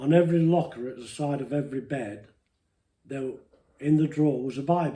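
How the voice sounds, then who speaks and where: A man with a fairly high pitch and a dark, mellow, somewhat breathy tone talks at a fairly quick pace, broken by long, frequent pauses, with ordinary pitch variation and big swings in loudness. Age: 80s+. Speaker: interviewee telling life story. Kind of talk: personal testimony interview. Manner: emotional.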